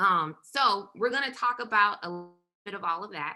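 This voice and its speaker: A woman speaks with a Southern US accent and a bright, sharp tone. Her pitch moves with ordinary variation. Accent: Southern US (Georgia). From US South, rural south Georgia. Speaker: perinatal mental health trainer. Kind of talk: presentation. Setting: virtual summit.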